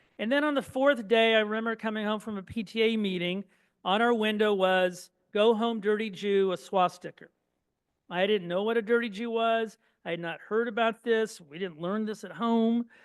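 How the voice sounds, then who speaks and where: With a Midwestern American accent, this man speaks at a moderate pace in a high pitch and with fairly even intonation. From Indiana, Terre Haute. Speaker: speaker, son of Holocaust survivors. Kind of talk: public talk.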